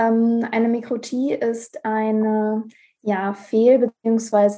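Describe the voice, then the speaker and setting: Her voice is fairly high in pitch, with a dark, mellow tone from this woman. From Ruhr area, Germany. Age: 20s. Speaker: pharmacy student with hearing impairment. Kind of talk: interview.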